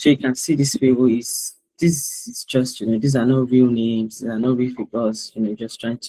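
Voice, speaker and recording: In a dry, close sound with no echo, a man speaks at a medium pitch with fairly even intonation. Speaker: tax trainer. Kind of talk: webinar training presentation. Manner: halting, many fillers.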